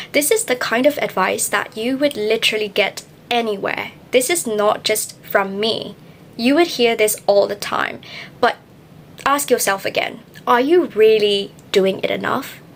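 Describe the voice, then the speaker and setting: Over noticeable background noise, a woman with a non-native accent speaks fairly slowly at a fairly high pitch with ordinary pitch variation. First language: not English. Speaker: English learning youtuber. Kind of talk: tutorial. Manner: emphatic, repeats key points.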